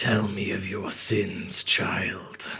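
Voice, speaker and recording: The speaker puts on a raspy, low-pitched character voice. Faint music plays in the background. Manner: menacing.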